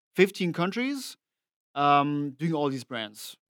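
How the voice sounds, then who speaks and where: On a very clean recording with a silent background and a dry, close sound with no echo, a man speaks with a French accent at a fairly high pitch. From France. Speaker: tour manager and drum tech. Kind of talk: casual chat. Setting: studio.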